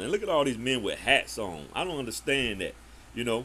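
At a fairly quick pace, a man with a medium-pitched voice and a bright, sharp tone speaks in an animated way with lively intonation. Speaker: street preacher / apologetics channel host. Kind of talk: reaction commentary on a debate. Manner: animated, combative.

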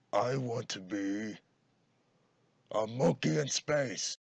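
Loud and very slow, a man speaks at a medium pitch with ordinary pitch variation. The sound is dry and close with no echo. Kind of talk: comic overacting. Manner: loud, random, excitable.

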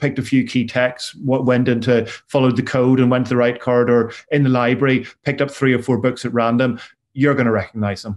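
A man with a Northern Irish accent talks at a very fast pace. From Northern Ireland. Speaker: university academic, former probation officer; presenter. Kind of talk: webinar presentation. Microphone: video call.

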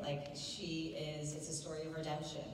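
The speech moves at a moderate pace. There is audible room echo and light background noise. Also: woman. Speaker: panel guest actor. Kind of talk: interview answer. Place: hall.

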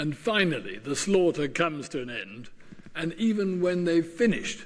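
Amid audible room echo, a man with a fairly high pitch speaks at a fairly slow pace, making big pitch swings.

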